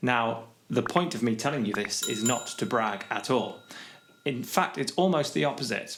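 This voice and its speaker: Over noticeable background noise, a man with a medium pitch talks at a moderate pace with lively intonation. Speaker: guitar teacher. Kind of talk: tutorial. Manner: slurred, mumbling.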